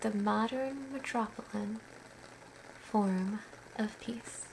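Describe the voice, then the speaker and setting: Noticeable background noise sits behind a woman talking at a very slow pace. Her fairly high-pitched voice has a gentle tone and fairly even intonation. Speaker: poet and writer. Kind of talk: poetry reading. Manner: slow, gentle, hushed.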